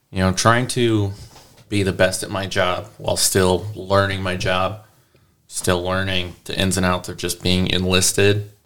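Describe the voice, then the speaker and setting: A man with a very deep, low pitch talks at a fairly slow pace in a monotone, flat intonation. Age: 30s. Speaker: air force service member, guest. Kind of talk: personal story.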